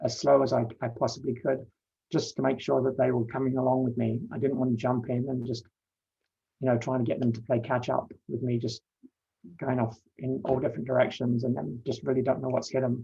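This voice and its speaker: In a London accent, a man speaks at a medium pitch with a dark, mellow tone, monotone, flat intonation and vocal fry, at a fairly quick pace. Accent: English (London), noticeable in Canada. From London, England. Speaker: panelist sharing coming-out story. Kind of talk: personal testimony. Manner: halting, many fillers and repetitions.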